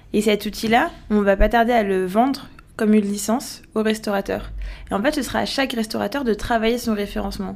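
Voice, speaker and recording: A woman speaks at a fairly high pitch with vocal fry. Her pace is fairly quick and her intonation fairly even. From France and Algeria (Paris and Algiers). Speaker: startup founder. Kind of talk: interview. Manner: hesitant, many fillers.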